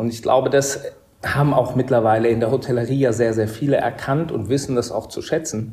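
Somewhat breathy and dark, mellow in tone, a man of medium pitch speaks at a fairly quick pace with fairly even intonation. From Upper Bavaria, Germany (Murnau). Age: 30s. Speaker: hotel director. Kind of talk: interview. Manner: hesitant, many fillers.

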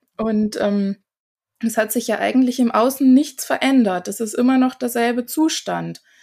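This woman has a normal speaking voice, fairly high in pitch, at a fairly slow pace. The recording is very clean, with a silent background. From Germany, small village. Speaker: face yoga teacher. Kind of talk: casual interview.

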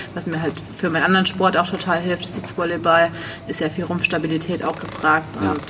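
Amid noticeable background noise, a woman with a fairly low pitch talks at a very fast pace with fairly even intonation. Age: 30s. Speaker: prosthesis wearer, sitting volleyball player. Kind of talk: casual chat.

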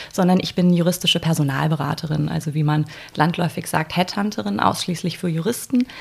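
With lively intonation and a fairly quick pace, this is an unremarkable speaking voice. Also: woman. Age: 30s. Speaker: lawyer and recruiter. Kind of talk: interview conversation.

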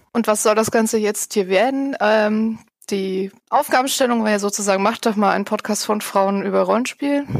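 A woman with an unremarkable speaking voice speaks at a moderate pace and very even loudness, her fairly high pitch showing ordinary variation. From Saxony, Erzgebirge. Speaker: podcast host and blogger. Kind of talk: casual chat.

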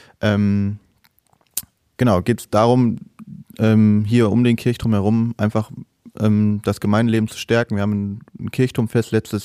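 In a very clean recording with a silent background and a dry, close sound with no echo, a man with a dark, mellow tone speaks at a fairly low pitch in a monotone, flat way, with long, frequent pauses. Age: 20s. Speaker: altar server and parish council member. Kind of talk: casual interview. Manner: hesitant with many fillers.

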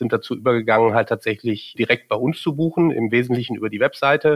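An ordinary speaking voice from a man, medium in pitch with ordinary variation and a fairly quick pace, recorded dry and close with no echo on a very clean track with a silent background. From Germany, Cologne. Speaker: marketing executive. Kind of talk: interview. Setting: studio.

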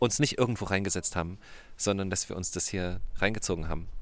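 A man with lively intonation, going at a very fast pace. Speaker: podcast host. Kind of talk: casual chat. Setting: outdoors.

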